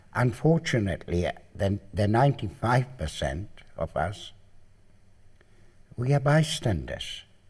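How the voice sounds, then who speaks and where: A man's fairly slow, lively-intoned speech with vocal fry, on a very clean recording with a silent background. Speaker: Holocaust survivor. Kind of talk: interview testimony.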